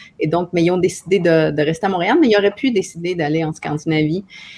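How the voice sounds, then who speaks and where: A woman speaks in a dark, mellow tone. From Quebec (Montreal), from Chile at age seven. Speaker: author. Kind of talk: panel discussion.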